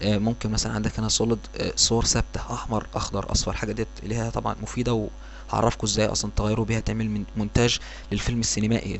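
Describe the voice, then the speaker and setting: Speaking at a very fast pace, a man talks with an Egyptian accent. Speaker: software tutorial instructor. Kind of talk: tutorial. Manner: hesitant, many fillers.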